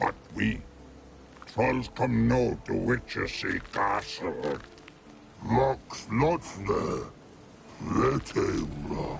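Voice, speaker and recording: A put-on character voice comes at a very slow pace with long, frequent pauses over clear background noise. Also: man. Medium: video game. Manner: broken grammar, simple clipped phrases.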